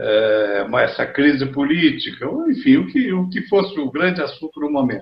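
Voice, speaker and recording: A man's fairly high voice rises and falls in very wide pitch swings. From Rio de Janeiro, Brazil. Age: 80s+. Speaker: radio journalist. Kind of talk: interview answer.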